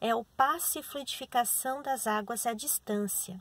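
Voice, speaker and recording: A woman's somewhat breathy voice at a very slow pace, ordinary pitch variation, dry sound with no echo. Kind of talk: instructions, then a spoken prayer. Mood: calm, gentle. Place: car. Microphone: phone near.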